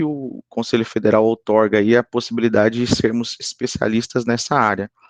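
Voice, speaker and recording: A man at medium pitch and moderate pace, in a dry, close sound with no echo and a quiet background. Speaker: psychologist and lecturer. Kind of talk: lecture. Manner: hesitant with many fillers.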